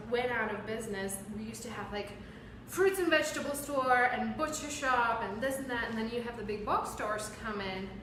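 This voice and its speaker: A woman with a Czech accent, animated and fairly high-pitched, at a moderate pace, with noticeable background noise and audible room echo. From Czech Republic. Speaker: podcast host. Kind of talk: casual interview chat.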